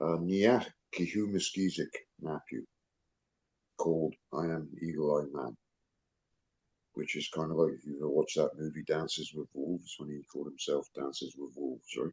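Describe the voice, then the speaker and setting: A man with an English accent speaks at a moderate pace in a very deep, low voice with ordinary pitch variation and long, frequent pauses, in a dry, close sound with no echo. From England. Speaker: self-described international legal advisor. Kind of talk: video call discussion.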